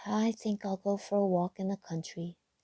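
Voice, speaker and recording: The put-on character voice holds a middle pitch with monotone, flat intonation. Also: female-sounding voice, moderate pace. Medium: read story.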